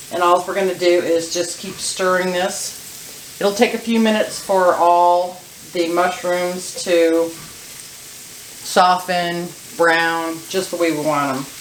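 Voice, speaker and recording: The speech goes at a very slow pace against noticeable background noise. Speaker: cooking channel host. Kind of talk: cooking tutorial. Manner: loud.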